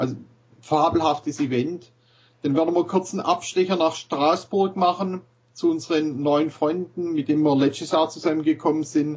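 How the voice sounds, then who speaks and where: At a moderate pace, a man with a fairly high pitch and fairly even intonation talks in an ordinary speaking voice. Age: 40s. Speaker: cross golf club founder. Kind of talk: casual chat.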